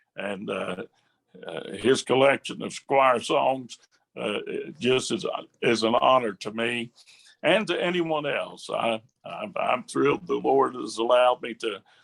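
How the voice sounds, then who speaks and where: The sound is dry and close, with no echo. A man talks at a fairly slow pace. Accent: Appalachian. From West Virginia. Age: 70s. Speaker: southern gospel singer and songwriter. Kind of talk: casual interview chat. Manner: halting, many fillers.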